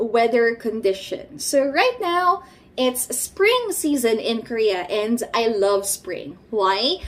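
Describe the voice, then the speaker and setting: A woman speaks very slowly, her pitch swinging very widely, over noticeable background noise. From Philippines. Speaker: vlogger. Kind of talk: casual vlog talk.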